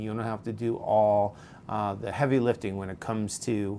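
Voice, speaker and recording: A man with a New York accent talks at a moderate pace. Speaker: podcast host, leadership coach. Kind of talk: advice monologue. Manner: conversational with frequent fillers; animated.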